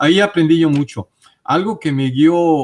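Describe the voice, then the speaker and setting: Somewhat breathy, a man speaks at a moderate pace in a dry, close sound with no echo. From Mexico City. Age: 60s. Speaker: interviewee on UFO and paranormal topics. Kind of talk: interview testimony. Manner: hesitant, with frequent fillers.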